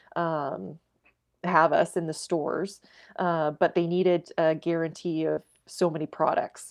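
In a Canadian Prairie accent, a woman with a fairly low pitch speaks in a monotone, flat intonation. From Saskatchewan, Canada. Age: 30s. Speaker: egg and grain farmer. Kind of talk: interview. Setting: remote call from home.

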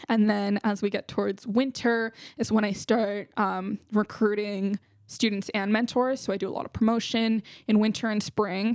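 In a Californian accent, a woman speaks at a moderate pace with a fairly high pitch and monotone, flat intonation, on a very clean recording with a silent background and a dry, close sound with no echo. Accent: Californian American English. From California, San Jose. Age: young. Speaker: founder of a youth business program, college student. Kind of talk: casual interview.

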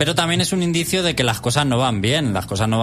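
A man's lively intonation over noticeable background noise. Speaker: radio host. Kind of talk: game review; casual chat. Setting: radio studio.

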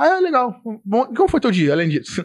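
Speaking very fast with a Carioca accent, a man is heard on a very clean recording with a silent background. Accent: carioca Brazilian Portuguese. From Rio de Janeiro, Nova Iguaçu (Baixada Fluminense). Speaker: IT support technician. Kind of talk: casual chat.

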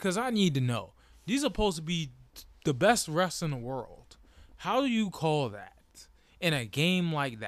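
A high-pitched male voice at a moderate pace, with very wide pitch swings and big swings in loudness. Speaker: sports podcast host. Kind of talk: solo sports commentary monologue. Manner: animated.

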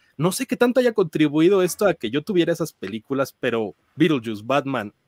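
A man speaks at a fairly quick pace, his pitch swinging very widely. The recording is very clean with a silent background, and the sound is dry and close with no echo. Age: 30s. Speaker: film critic. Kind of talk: casual chat.

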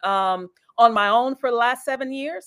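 Speaking at a moderate pace, a woman has an ordinary speaking voice and ordinary pitch variation. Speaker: church elder and executive. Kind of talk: casual interview conversation about church and business. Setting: online live video show.

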